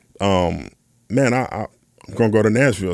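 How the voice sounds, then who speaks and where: An ordinary speaking voice with ordinary pitch variation, on a very clean recording with a silent background. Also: man. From US Midwest, west side of Chicago. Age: 30s. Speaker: session drummer. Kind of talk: casual chat.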